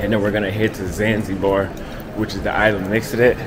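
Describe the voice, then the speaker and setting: Music in the background behind a man's fairly quick delivery. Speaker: travel vlogger. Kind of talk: casual vlog chat. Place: station. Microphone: phone near.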